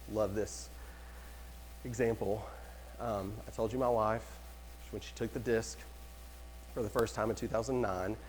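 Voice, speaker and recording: With long, frequent pauses at a moderate pace, a man speaks at a fairly low pitch with very wide pitch swings and vocal fry, in audible room echo. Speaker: real estate trainer. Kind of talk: lecture. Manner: animated.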